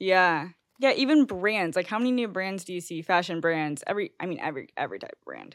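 With an American accent and lively intonation, a woman talks at a very fast pace with big swings in loudness, in a very clean recording with a silent background. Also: medium pitch for a woman. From Missouri (outside St. Louis). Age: 20s. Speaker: podcast host. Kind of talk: casual interview chat.

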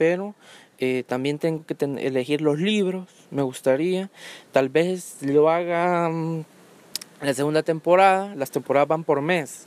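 A man with a Honduran accent and fairly high pitch talks at a fairly slow pace with ordinary pitch variation, the sound dry and close with no echo. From Honduras. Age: 20s. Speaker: podcaster. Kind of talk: solo monologue podcast. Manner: hesitant, many fillers.

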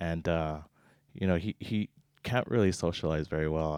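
A man speaks in a very deep, low pitch with fairly even intonation, his voice dry and close with no echo on a very clean recording with a silent background. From Hawaii, Oahu. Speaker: podcast guest. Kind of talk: casual chat. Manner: halting, many fillers.

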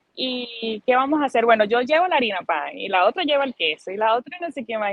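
Talking at a fairly quick pace, a woman with a high pitch sounds animated, her voice swinging very widely in pitch. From Venezuela, Barinas plains (Socopó). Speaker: migrant interviewee. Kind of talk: testimony.

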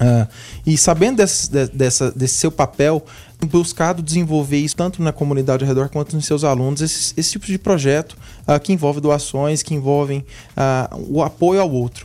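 A man's dark, mellow voice in a Santa Catarina accent, fairly high in pitch, with ordinary pitch variation and a moderate pace. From Santa Catarina, Brazil (Blumenau). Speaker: university relations supervisor. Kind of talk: radio interview.

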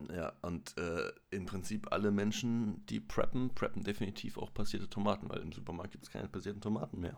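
A man talks at a fairly quick pace with hardly any pauses, in a normal speaking voice. His pitch is fairly low, with ordinary variation. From Freiburg, southwest Germany. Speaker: podcast guest. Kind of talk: casual chat.

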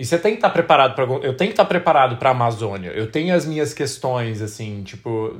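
A somewhat breathy man's voice at a medium pitch, very fast and with hardly any pauses, swinging very widely in pitch. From Brazil. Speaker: travel podcast co-host. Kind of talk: casual chat.

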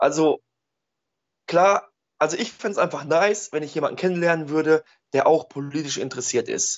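A man with a fairly high pitch talks at a moderate pace with ordinary pitch variation. His speech has long, frequent pauses. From Ruhr area, Germany (Oberhausen). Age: 30s. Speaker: social worker and antifascist blogger. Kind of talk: casual chat. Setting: Skype call.

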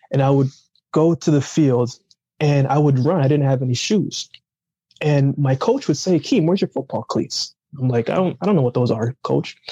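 Somewhat breathy and fairly high in pitch, a man talks at a moderate pace in a dark, mellow tone with ordinary pitch variation. His loudness stays very even, and the sound is dry and close with no echo. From Jamaica, raised later in Canada. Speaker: Olympic athlete and motivational speaker. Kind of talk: casual interview chat. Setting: remote call.

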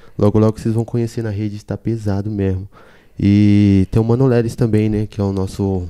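Against a quiet background, a man speaks at a moderate pace with a fairly low pitch, a dark, mellow tone and monotone, flat intonation. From Salvador, Bahia. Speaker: illustrator and graffiti artist. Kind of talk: casual chat.

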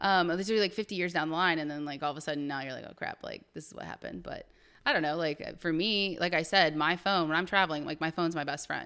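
Speaking very fast with a Midwestern American accent, a woman uses a fairly low pitch, a bright, sharp tone, and fairly even intonation. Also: very clean recording, silent background. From Ohio, US Midwest. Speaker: travel enthusiast. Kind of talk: casual chat. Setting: podcast recording with camera.

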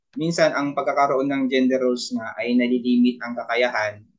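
A man speaks at a moderate pace in a medium pitch with monotone, flat intonation. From Philippines, rural province. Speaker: elementary teacher. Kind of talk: casual chat.

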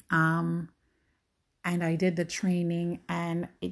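A fairly low woman's voice, captured very cleanly against total silence. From Jamaica (rural hills). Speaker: podcast host. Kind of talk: solo monologue podcast. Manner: reflective, hesitant with fillers.

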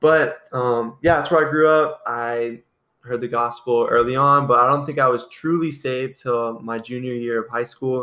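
This man speaks with a US Midwestern accent at a moderate pace. His tone is bright and sharp, and his intonation stays fairly even. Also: medium pitch for a man. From Iowa, US Midwest. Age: 20s. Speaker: podcast co-host, Bible college student. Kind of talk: casual chat.

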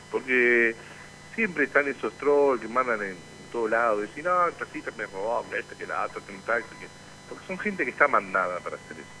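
A man speaks fairly quickly, his loudness swinging widely, with noticeable background noise. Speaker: union radio show host. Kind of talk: casual radio chat.

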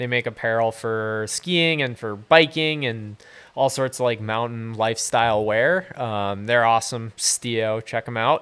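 In an American accent, a man with a normal speaking voice of medium pitch speaks at a fairly slow pace with ordinary pitch variation, captured on a very clean recording with a silent background. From US Northeast, southern Maine (York). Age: 20s. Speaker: outdoor adventure photographer. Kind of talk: casual chat. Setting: home garage studio.

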